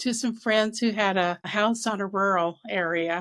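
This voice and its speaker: This woman has an ordinary speaking voice, medium in pitch, with fairly even intonation at a moderate pace, captured in a very clean recording against a silent background. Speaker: author and speaker. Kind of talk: interview.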